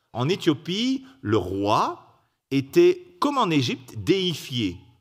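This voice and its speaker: There is music in the background as a man speaks. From Belgium. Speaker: preacher. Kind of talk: sermon. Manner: halting.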